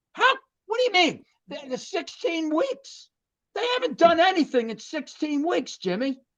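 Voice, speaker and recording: A man with an American accent speaks at an extremely high pitch and a moderate pace. His voice moves through very wide pitch swings. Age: 60s. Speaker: sports podcast host. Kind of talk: casual sports talk. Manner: animated.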